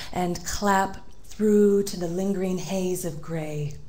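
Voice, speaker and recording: A woman speaks with audible room echo. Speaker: poet. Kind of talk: poetry reading; casual introduction.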